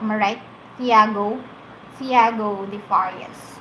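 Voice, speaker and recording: A woman with a Filipino accent speaks at a very slow pace in a fairly high pitch, with audible room echo and noticeable background noise. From Philippines. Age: 20s. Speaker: livestreamer. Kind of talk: casual chat.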